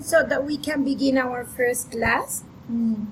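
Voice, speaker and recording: In a raised, projected voice, the speaker talks at a very slow pace. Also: woman. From Colombia, Bogota. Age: 30s. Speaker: English teacher. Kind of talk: online class.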